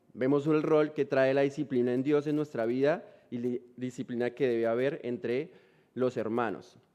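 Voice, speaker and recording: A man speaks at a moderate pace in a medium pitch with ordinary pitch variation and a dark, mellow tone. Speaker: missionary preacher. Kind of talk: sermon. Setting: church.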